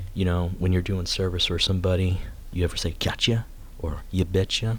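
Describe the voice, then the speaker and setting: The man's voice is somewhat breathy, at a moderate pace. His intonation is monotone and flat. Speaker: youtuber. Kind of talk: casual monologue ranking slang. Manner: halting.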